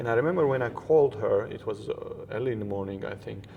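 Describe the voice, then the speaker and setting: A man speaks with a Georgian accent and ordinary pitch variation. Noticeable background noise runs beneath him. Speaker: interview guest. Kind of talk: interview conversation.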